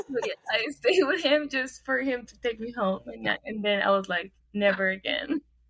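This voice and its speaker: Over noticeable background noise, a woman with a high pitch speaks at a moderate pace, barely pausing. Her intonation is lively and her loudness swings widely. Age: 20s. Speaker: podcast co-host. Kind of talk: casual chat.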